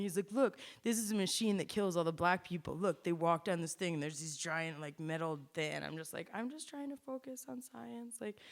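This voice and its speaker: Speaking at a fairly quick pace with hardly any pauses, a woman with an American accent uses lively intonation at a medium pitch. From Vermont, US (Rutland). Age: 30s. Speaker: community event host and speaker. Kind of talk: personal testimony. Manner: halting, many false starts and fillers.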